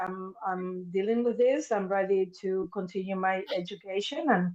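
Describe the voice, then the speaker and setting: A woman with a Spanish accent speaks at a fairly slow pace with fairly even intonation. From Argentina, Buenos Aires. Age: 50s. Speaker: mental health therapist. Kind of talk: interview testimony.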